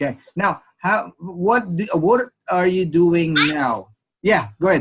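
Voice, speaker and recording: Using lively intonation, a man with a high pitch speaks at a very slow pace. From Philippines. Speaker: online English tutor. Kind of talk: one-on-one online lesson.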